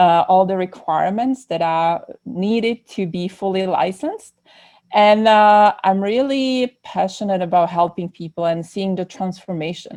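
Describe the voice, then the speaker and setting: Over a quiet background, a woman with a Czech accent speaks at a fairly slow pace in a medium-pitched voice with a dark, mellow tone and ordinary pitch variation. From Czech Republic. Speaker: psychotherapist. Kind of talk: podcast interview.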